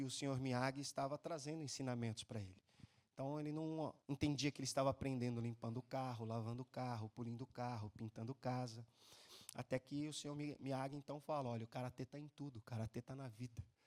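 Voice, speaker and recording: In a plain, everyday voice of medium pitch, a man speaks at a fairly quick pace with fairly even intonation, the sound dry and close with no echo. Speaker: preacher. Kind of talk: sermon.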